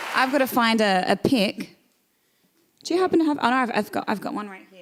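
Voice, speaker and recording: Against crowd noise in the background, a high-pitched woman talks fairly quickly in an American accent. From Australia. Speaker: country singer and live show host. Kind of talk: casual live-stream chat. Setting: live stream.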